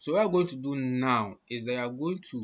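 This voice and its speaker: Speaking at a fairly slow pace, a man with a fairly high pitch uses ordinary pitch variation. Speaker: online job tutorial creator. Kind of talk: screen-share tutorial. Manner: hesitant, many fillers.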